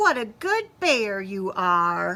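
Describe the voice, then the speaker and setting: A put-on character voice, female-sounding, at a medium pitch for a woman. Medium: read story.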